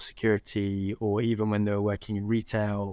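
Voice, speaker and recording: A man with a London accent speaks at a fairly low pitch and a fairly quick pace. His intonation is flat and monotone on a very clean recording with a silent background. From West London (Southall), England. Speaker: social entrepreneur, founder. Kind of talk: podcast interview. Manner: hesitant, many fillers.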